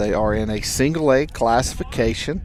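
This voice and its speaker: A man with a Southern US accent speaks at a fairly slow pace. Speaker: baseball play-by-play announcer. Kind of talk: live sports commentary. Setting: school baseball game stream.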